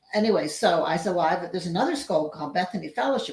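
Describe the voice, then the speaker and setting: A woman's medium-pitched, somewhat breathy voice with lively intonation. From England. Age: 70s. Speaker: grandmother interviewee. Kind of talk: casual interview. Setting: video call.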